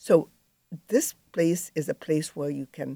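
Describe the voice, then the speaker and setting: This woman's voice is very deep and low, with a dark, mellow tone and vocal fry. She talks at a moderate pace. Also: dry, close sound with no echo, very clean recording, silent background. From Egypt. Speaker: physician. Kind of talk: interview.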